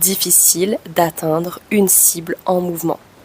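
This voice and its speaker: A woman's voice sounds dry and close with no echo, with noticeable background noise behind it. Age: 20s. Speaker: vlogger. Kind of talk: personal vlog testimony.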